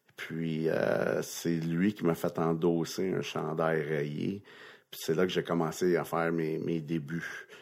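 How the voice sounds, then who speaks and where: The delivery is very slow and monotone, with flat intonation. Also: man. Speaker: retired NHL linesman. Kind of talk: interview storytelling. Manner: halting.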